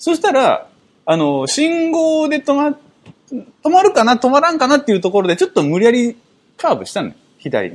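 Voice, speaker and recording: An extremely high male voice at a moderate pace, with very wide pitch swings and big shifts in loudness. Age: 30s. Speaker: podcast co-host. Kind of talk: casual chat. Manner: animated.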